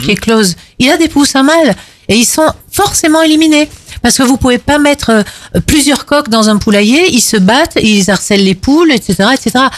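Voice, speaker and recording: Her high voice carries lively intonation as the woman talks at a moderate pace. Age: 50s. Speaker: animal rights activist. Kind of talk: panel debate.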